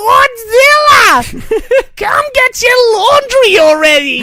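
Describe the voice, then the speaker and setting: A shrill, put-on character voice at an extremely high pitch, fairly slow, over clear background noise. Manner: shrill, scolding.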